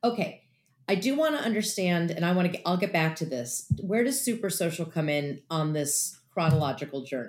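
A woman with a normal speaking voice talks at a fairly quick pace, her fairly low pitch carried by lively intonation. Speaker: podcast host. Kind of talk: casual interview.

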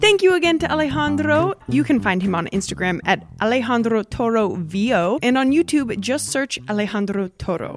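Very wide pitch swings mark speech at a moderate pace with hardly any pauses, set against noticeable background noise. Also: woman, medium pitch for a woman. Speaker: podcast host. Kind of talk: casual interview. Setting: remote recording from London. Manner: laughs often, upbeat.

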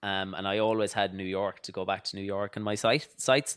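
On a very clean recording with a silent background, a man with a western Irish accent speaks fairly quickly in a fairly low voice. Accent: Irish (west of Ireland). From Ireland, County Mayo. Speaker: fitness trainer. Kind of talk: casual interview chat. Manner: animated.

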